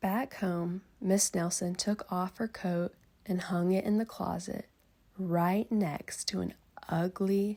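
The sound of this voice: Fairly level intonation from an unforced voice reading aloud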